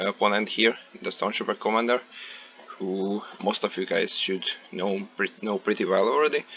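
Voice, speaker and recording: A man with a non-native accent speaks at a fairly low pitch. Noticeable background noise runs behind him. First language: not English. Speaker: gaming video creator. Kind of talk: gameplay commentary. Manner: hesitant, many filler words.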